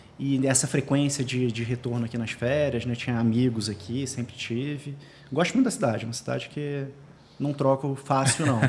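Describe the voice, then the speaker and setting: A man talks at a medium pitch with fairly even intonation and a somewhat breathy sound. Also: moderate pace. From Rio de Janeiro, Brazil. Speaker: entrepreneur and financial planner. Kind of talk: podcast interview.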